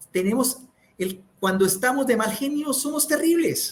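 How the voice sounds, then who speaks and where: A man speaks loudly with a Santander Colombian accent. His pitch swings very widely. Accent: Santander Colombian, speaks sharply. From Colombia, Santander. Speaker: communication speaker. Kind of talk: interview. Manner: loud, high tone.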